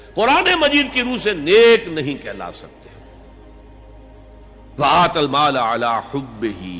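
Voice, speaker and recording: A man is speaking. Music plays in the background. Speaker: Islamic scholar giving a lecture. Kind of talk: Islamic sermon / lecture (bayan). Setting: recorded lecture to an audience. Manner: emotional, earnest, emphatic.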